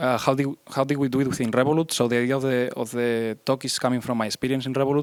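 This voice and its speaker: A man of medium pitch talks at a very fast pace with a strong Spanish accent, his sound dry and close with no echo. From Spain. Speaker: iOS developer, conference speaker. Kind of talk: conference talk. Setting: stage with audience. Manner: hesitant, many fillers.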